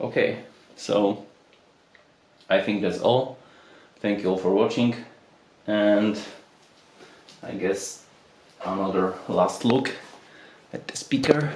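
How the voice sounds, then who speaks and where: There is audible room echo as a man with a fairly low pitch speaks at a very slow pace, leaving long, frequent pauses. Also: ordinary pitch variation. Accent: non-native. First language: not English. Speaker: audio product reviewer. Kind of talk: unboxing video.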